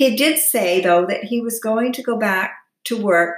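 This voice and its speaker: Speaking at a moderate pace, a woman uses a normal speaking voice at medium pitch with ordinary pitch variation. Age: 60s. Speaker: lifestyle vlogger. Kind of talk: personal vlog monologue.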